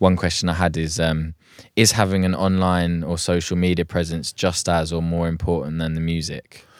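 A man with a southern English accent, very deep, low pitch and monotone, flat intonation on a very clean recording with a silent background. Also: moderate pace. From southern England. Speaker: music producer and podcast host. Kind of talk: casual chat. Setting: home studio.

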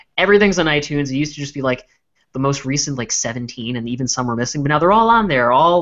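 Lively in intonation, a man with a plain, everyday voice speaks at a fairly high pitch. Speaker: podcast co-host. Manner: casual, joking.

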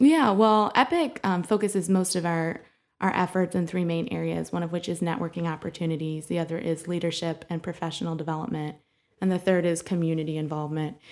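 Here a woman with a Midwestern American accent speaks at a fairly low pitch with fairly even intonation. The recording is very clean, with a silent background. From Bowling Green, Ohio. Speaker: director of a young professionals networking group. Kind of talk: interview.

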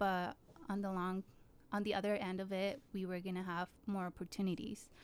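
A woman talks at a moderate pace and medium pitch with fairly even intonation. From Jalisco, Mexico, raised in Utah from age seven. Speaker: nonprofit worker and DACA recipient. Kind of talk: personal testimony.

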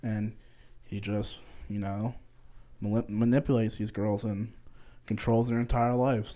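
A man with an American accent, medium in pitch and flat in intonation, at a moderate pace with long, frequent pauses. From Connecticut. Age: 20s. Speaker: podcast co-host, college student. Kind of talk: casual chat. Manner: halting.

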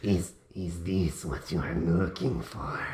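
A man speaks in a put-on character voice. His pitch is very deep and low. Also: fairly slow pace. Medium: actual play. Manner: hesitant, stammering, repeats words.

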